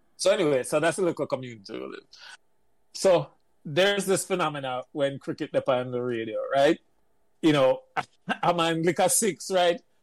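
A man with a Jamaican accent speaks at a moderate pace in a fairly high pitch, his intonation lively and broken by long, frequent pauses. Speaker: engineer. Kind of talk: casual chat.

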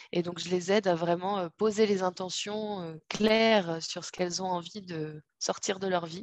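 A woman with an ordinary speaking voice talks at a medium pitch and a fairly slow pace, her intonation fairly even, in a dry, close sound with no echo and a quiet background. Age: 30s. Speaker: holistic coach and doula. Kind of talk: interview.

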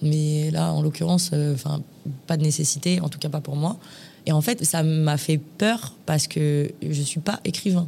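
A woman's very deep, low voice with a dark, mellow tone, somewhat breathy, with fairly even intonation at a fairly slow pace. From Paris. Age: 20s. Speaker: influencer and former reality TV contestant. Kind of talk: casual interview.

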